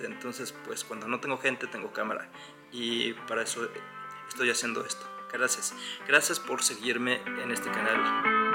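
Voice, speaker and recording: Clear music plays in the background. A man speaks at a moderate pace, with long, frequent pauses. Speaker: travel vlogger. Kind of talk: casual talk to camera. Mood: calm, earnest. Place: home room. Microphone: phone near.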